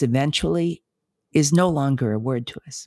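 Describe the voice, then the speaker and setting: In an American accent, a woman with a very deep, low voice speaks at a moderate pace with lively intonation, the sound dry and close with no echo on a very clean recording with a silent background. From United States. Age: 70s. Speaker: clinical psychologist and author. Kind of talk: interview conversation. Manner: measured, with hesitations.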